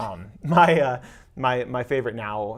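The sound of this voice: In a very clean recording with a silent background, a man talks with ordinary pitch variation.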